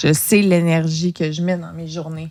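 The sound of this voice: A woman talks very slowly at a fairly low pitch, her intonation flat and monotone.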